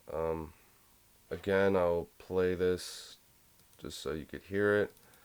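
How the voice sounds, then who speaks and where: A man's very deep, low voice at a fairly slow pace with fairly even intonation. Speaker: music production tutorial creator. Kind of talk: tutorial. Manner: casual, hesitant. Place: home room.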